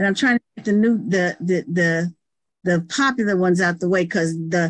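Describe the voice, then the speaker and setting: A plain, everyday voice from a woman, moderate in pace and lively in intonation. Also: dry, close sound with no echo. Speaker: pastor. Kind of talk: quiz game. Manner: excitable.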